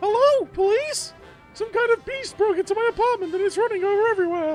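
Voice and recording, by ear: In a put-on character voice pitched extremely high, the speaker races along at a very fast pace while music plays clearly in the background.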